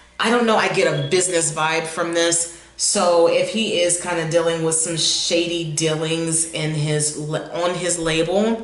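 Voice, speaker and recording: A woman with a fairly low pitch speaks at a fairly slow pace with fairly even intonation. Room echo is audible, and background noise is noticeable. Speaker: tarot reader. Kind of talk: intuitive tarot reading. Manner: occasional stammering.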